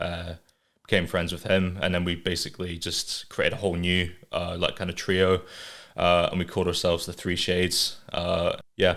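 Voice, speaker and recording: With an English accent, a man speaks at a moderate pace in a very deep, low voice on a very clean recording with a silent background. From England, moved to north-east Scotland at age five. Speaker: artist and animator. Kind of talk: casual chat.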